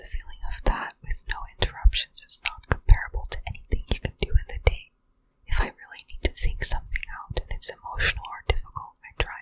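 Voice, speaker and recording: A woman whispers at a fairly quick pace. Her loudness swings widely. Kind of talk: ASMR whispered reading of Reddit answers. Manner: whispered, soft.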